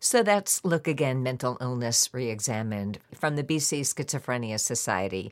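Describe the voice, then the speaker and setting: With an American accent, a woman talks in a very deep, low voice with lively intonation and hardly any pauses, on a very clean recording with a silent background. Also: moderate pace. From New York City. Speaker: podcast host. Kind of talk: casual interview chat.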